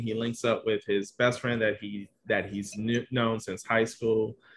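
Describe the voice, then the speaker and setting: A man with an American accent and an unremarkable speaking voice talks at a moderate pace and medium pitch, his intonation fairly even. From Detroit, Michigan. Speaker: novelist. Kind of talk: casual panel discussion. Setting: video call, siren outside.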